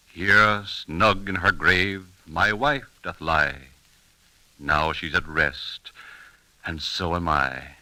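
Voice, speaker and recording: A man's bright, sharp tone carries vocal fry. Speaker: old-time radio narrator. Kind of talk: 1930s radio show narration.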